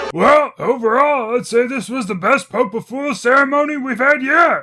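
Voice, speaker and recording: At a moderate pace, a cartoonish character voice comes through at a high pitch. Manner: jovial.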